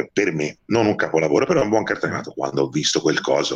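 A very fast man's voice with vocal fry and very wide pitch swings. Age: 40s. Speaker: film critic. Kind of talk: casual chat. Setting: remote call. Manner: animated.

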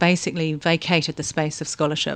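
This woman has a New Zealand accent. Her pace is fairly quick. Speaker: anthropologist, senior lecturer. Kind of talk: interview conversation. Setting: university office.

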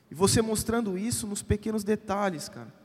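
A man talks at a moderate pace. His pitch is high. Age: 30s. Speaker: pastor. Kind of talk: conference panel talk. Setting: stage with audience.

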